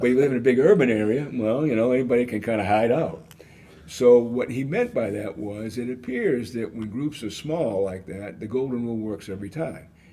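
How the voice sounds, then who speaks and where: The man's voice has a dark, mellow tone at a medium pitch, with ordinary pitch variation. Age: 70s. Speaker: author and conflict management expert. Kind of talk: podcast interview. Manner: conversational, folksy.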